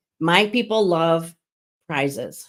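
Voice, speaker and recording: The recording is very clean, with a silent background. A woman talks in a fairly low pitch. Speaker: business coach, online community founder. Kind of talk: live stream tutorial. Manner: casual, conversational.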